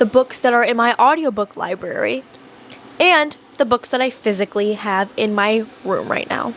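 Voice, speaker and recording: A woman with ordinary pitch variation keeps a moderate pace while noticeable background noise runs underneath. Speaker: booktuber. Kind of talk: casual vlog. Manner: animated.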